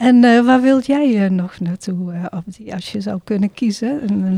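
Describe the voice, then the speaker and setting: A woman's somewhat breathy voice with ordinary pitch variation. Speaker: podcast host and refugee organisation volunteer. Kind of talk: casual interview, guided by a card game. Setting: podcast studio.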